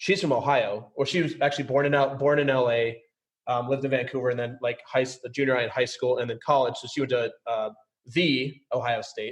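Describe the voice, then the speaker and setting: In an American accent, a man talks at a fairly quick pace, his voice somewhat breathy and his intonation fairly even. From US Midwest, suburbs of St. Paul, Minnesota. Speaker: podcast host. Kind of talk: casual interview chat. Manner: fast; high energy.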